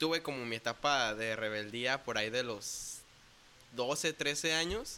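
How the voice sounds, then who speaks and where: A man speaks with a western Mexican accent. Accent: Mexican Spanish, western Mexico. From Mexico, Puerto Vallarta, Jalisco. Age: 20s. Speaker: bass player in a church worship band. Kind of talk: casual interview.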